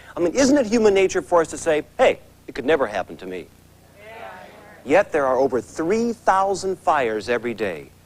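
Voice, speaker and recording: A man with a fairly high voice and vocal fry talks at a fairly quick pace, his pitch swinging very widely. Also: big swings in loudness. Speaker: infomercial host. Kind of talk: infomercial host opening.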